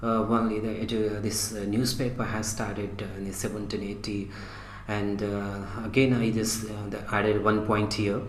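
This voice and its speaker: A man talks at a moderate pace in a fairly low, monotone, flat voice. The recording has noticeable background noise and audible room echo. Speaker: teacher. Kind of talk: lecture. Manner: halting.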